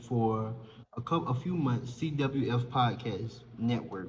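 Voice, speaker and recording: A relaxed, somewhat breathy man's voice of medium pitch, with a Southern US accent and audible room echo. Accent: Southern country. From US South, rural South Carolina. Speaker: content creator and podcaster. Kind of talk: casual vlog chat. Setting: apartment lounge. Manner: conversational, relaxed.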